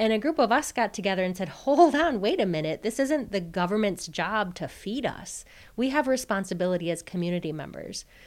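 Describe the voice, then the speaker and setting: A woman with an American accent talks at a medium pitch and a fairly quick pace, with hardly any pauses. Her pitch swings very widely, and the recording is very clean with a silent background. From Wisconsin, Oneida Reservation. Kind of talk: interview.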